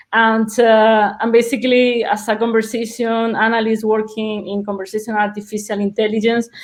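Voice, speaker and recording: Speaking at a moderate pace, a woman with a Spanish accent has a fairly high pitch. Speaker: conversation analyst, webinar presenter. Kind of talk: webinar presentation. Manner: halting, many repetitions and fillers.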